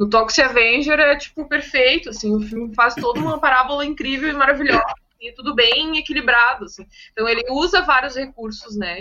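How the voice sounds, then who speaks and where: A woman speaks at a moderate pace in a high voice with ordinary pitch variation. Her loudness swings widely. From southern Brazil, Viamão (Rio Grande do Sul). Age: 30s. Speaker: podcast co-host. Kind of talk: casual chat.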